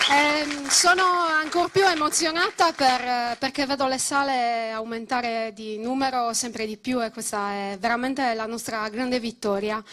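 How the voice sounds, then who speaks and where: Her pitch is high, and this woman talks at a moderate pace with ordinary pitch variation. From Sardinia. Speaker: political activist. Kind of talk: political rally speech. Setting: stage with audience.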